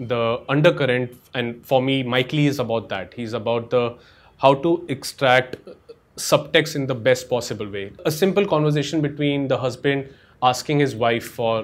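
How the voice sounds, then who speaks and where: At a moderate pace, a man talks with an ordinary amount of rise and fall in pitch. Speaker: guest. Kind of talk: casual commentary. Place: home room.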